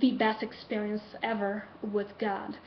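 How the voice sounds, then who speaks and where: Over noticeable background noise, a woman with a Brazilian Portuguese accent speaks fairly slowly in a fairly high, monotone voice with flat intonation. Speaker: college student. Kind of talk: class speech assignment, personal story. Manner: halting.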